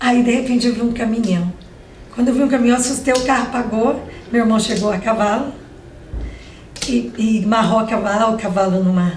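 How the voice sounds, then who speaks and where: A woman with a fairly high pitch speaks at a fairly quick pace, with fairly even intonation and long, frequent pauses. Noticeable background noise and audible room echo fill the recording. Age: 60s. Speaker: civil engineer. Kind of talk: interview.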